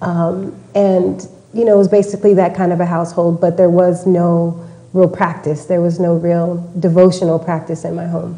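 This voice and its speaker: Over noticeable background noise, someone with a Texan accent speaks at a moderate pace in a flat monotone. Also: woman, fairly low pitch for a woman. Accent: Texan American. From Texas. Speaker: interview guest. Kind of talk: interview. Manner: hesitant, many fillers.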